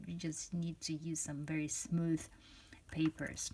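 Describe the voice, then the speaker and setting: The speaker is a woman with a non-native accent. Her voice carries some breathiness. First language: not English. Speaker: fountain pen reviewer. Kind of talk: product review. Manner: halting, many fillers and restarts.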